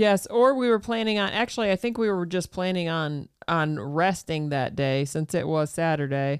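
Lively intonation and a moderate pace carry a plain, everyday voice. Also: woman, fairly low pitch for a woman. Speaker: homesteader. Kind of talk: casual chat. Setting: studio.

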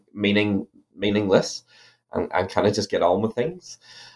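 Spoken at a fairly quick pace with an Irish accent, the voice comes through a very clean recording with a silent background. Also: man. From Ireland. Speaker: academic author. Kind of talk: interview about his book.

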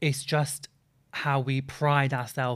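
Somewhat breathy speech comes from this voice. It belongs to a man. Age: 20s. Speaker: reality TV personality. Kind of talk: casual chat.

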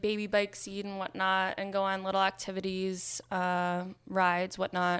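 A woman's plain, everyday voice with an American accent, at a medium pitch and moderate pace. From New York, Nyack. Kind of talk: casual interview chat. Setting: studio.

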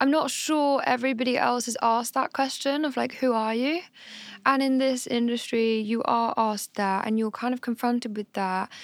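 A woman speaks with a high pitch and fairly even intonation. The recording is very clean, with a silent background. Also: moderate pace. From Hampshire, southern England. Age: 20s. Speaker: indie pop singer. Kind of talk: casual podcast interview.

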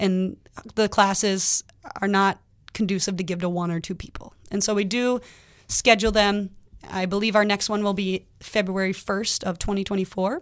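With an American accent, a woman at medium pitch speaks in a monotone, flat intonation at a moderate pace. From Minnesota, Twin Cities (Lakeville). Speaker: firefighter and EMT. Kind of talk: radio interview.

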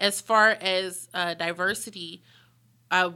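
With an American accent, a woman speaks at a medium pitch with ordinary pitch variation and a bright, sharp tone, in a very clean recording with a silent background. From Pittsburgh, Pennsylvania. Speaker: museum president and CEO. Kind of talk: interview conversation.

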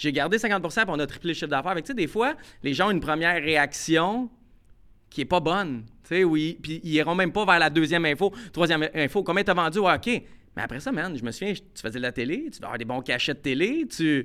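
Speaking in a Quebec accent, a man with high pitch and a bright, sharp tone uses lively intonation at a fairly quick pace on a very clean recording with a silent background. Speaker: podcast co-host, sports journalist. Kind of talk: casual chat.

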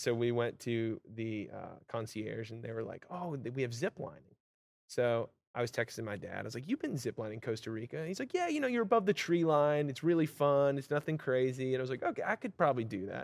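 A man talks at a fairly quick pace with an American accent. He has a plain, everyday voice, a medium pitch and ordinary pitch variation. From Vermont, US. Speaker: singer-songwriter. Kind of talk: casual interview chat.

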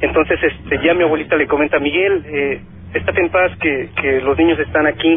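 Noticeable background noise underlies speech delivered fairly quickly. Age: 30s. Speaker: caller. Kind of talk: testimony. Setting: phone call.

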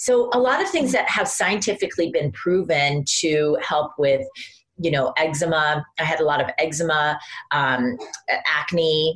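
Over noticeable background noise, a woman with an American accent speaks at a very deep, low pitch. Her loudness stays very even while her intonation is lively. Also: fairly slow pace. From Iowa, US Midwest. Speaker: skincare brand founder and concert pianist. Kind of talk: interview.

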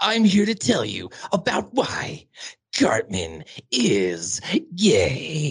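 Using a put-on character voice at a fairly high pitch, a man speaks at a very slow pace with very wide pitch swings and long, frequent pauses. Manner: earnest conspiratorial.

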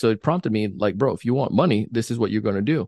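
Against a quiet background, a man talks with lively intonation in a dry, close sound with no echo. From Jamaica, moved to US at nine. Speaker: sales trainer and podcaster. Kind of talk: casual interview chat. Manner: animated.

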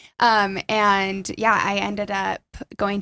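The speaker has a Utah accent. The recording is very clean, with a silent background. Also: woman. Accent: Utah American. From central Utah (Aurora, small town). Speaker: former college cheerleader. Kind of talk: casual interview chat.

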